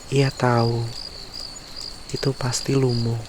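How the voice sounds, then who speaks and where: A man is speaking. Background noise is noticeable. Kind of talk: sleep story, bedtime fairy tale reading. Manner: whispered, soft, slow.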